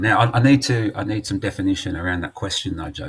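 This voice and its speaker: With an English accent, a man talks at a very fast pace in a fairly low, somewhat breathy voice with ordinary pitch variation. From England. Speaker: charity representative. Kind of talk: casual chat. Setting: live stream.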